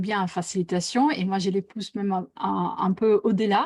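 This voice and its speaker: A medium-pitched woman with an Italian accent and ordinary pitch variation, in a very clean recording with a silent background. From Italy. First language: Italian (speaking French). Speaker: facilitator and author. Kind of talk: live interview. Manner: hesitant, many fillers.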